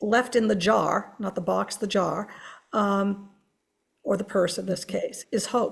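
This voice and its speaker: A woman speaks at a medium pitch with vocal fry. Her pace is fairly slow and her intonation fairly even. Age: 60s. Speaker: museum curator. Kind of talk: panel discussion.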